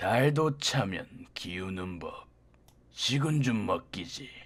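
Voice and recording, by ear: The speaker uses a put-on character voice at a low-to-middle pitch. The pace is very slow.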